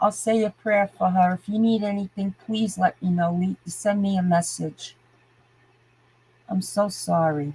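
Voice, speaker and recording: A woman speaks at a fairly slow pace in a somewhat breathy voice of medium pitch. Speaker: livestreamer. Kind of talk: live stream chat rant. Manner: animated.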